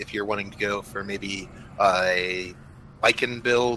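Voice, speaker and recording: A man mumbling in a bright, sharp tone. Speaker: esports co-commentator. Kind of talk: live commentary.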